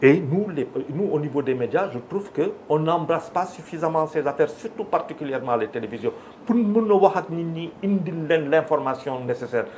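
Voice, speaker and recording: With lively intonation and a plain, everyday voice, a man speaks at a moderate pace. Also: fairly high pitch for a man. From Senegal. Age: 60s. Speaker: media figure and business owner. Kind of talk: televised debate. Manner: code-switching French and Wolof.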